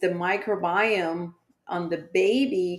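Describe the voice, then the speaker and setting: A woman speaks at medium pitch with a Spanish accent. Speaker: pediatrician. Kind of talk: podcast interview.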